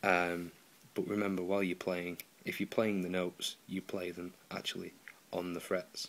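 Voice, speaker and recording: At a moderate pace, a man with a British accent speaks in a very deep, low pitch with monotone, flat intonation. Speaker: guitar repair tutor. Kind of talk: tutorial. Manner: casual, hesitant with many ums.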